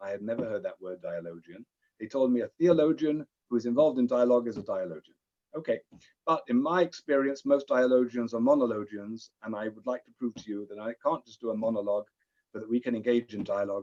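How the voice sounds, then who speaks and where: Speaking very fast in a British accent, a man has a dark, mellow tone, ordinary pitch variation and big swings in loudness, recorded dry and close with no echo. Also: medium pitch for a man. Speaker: rabbi and interfaith diplomat. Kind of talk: lecture.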